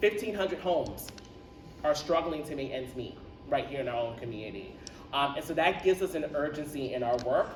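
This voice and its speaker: Over noticeable background noise, a man with a New York accent talks at a fairly quick pace with lively intonation. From Roosevelt, Long Island, New York. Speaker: nonprofit founder. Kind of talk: public speech at community event. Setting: community center event with audience. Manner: frequent filler 'um'.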